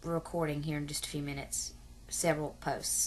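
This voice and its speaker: A woman with a rural Southern US accent, at a moderate pace. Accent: self-described hillbilly, rural Southern US. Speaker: adoption vlogger. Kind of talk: casual vlog monologue. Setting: at home in bed, video camera.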